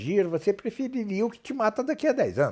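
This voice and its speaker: A man's voice with very wide pitch swings on a very clean recording with a silent background. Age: 60s. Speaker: professor of philosophy and theology. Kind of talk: interview. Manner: halting.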